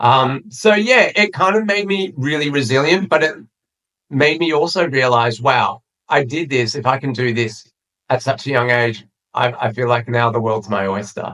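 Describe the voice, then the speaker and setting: With an Australian accent, a man speaks at a moderate pace and medium pitch. His tone is bright and sharp, his intonation lively. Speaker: PR agency founder. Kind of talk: interview. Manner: hesitant fillers.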